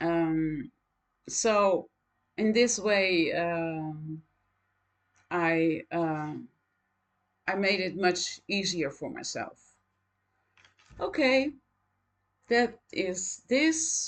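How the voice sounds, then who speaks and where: With a Dutch accent, a woman speaks at a very slow pace and medium pitch with lively intonation, leaving long, frequent pauses against a quiet background. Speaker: knitting vlogger. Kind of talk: casual chat. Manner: halting, many fillers.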